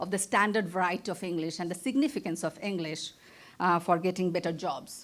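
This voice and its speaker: A woman with a Bengali accent at a very fast pace, in a very clean recording with a silent background. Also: medium pitch for a woman, ordinary pitch variation. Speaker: professor, keynote speaker. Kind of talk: conference keynote lecture. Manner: stammers on long words.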